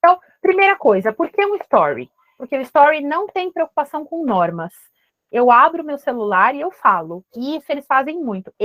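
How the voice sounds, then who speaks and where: At a moderate pace, a woman speaks in a high pitch with very wide pitch swings and big swings in loudness, in a dry, close sound with no echo. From São Paulo, Brazil. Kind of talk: casual, conversational.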